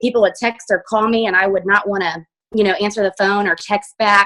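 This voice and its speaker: A woman's bright, sharp, energetic tone at a medium pitch, with an American accent. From Indiana, US Midwest. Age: 30s. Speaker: hairstylist and direct sales distributor. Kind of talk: personal testimony on a team video call. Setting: video call. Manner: fast.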